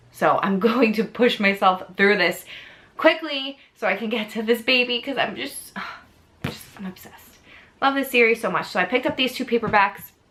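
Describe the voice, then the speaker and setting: Bright and sharp in tone, a woman with an American accent speaks at a moderate pace. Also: fairly high pitch for a woman, ordinary pitch variation. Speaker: book youtuber. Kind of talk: casual chat.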